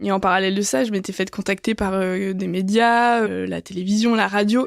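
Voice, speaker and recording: A woman speaks at a medium pitch and a moderate pace with fairly even intonation. The recording is very clean, with a silent background. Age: 20s. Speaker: business school student. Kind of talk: podcast testimony. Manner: hesitant, many fillers.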